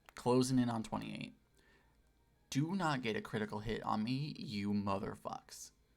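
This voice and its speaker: Music plays in the background as a man speaks at a moderate pace. His intonation is lively. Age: 20s. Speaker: streamer. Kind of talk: casual, profane.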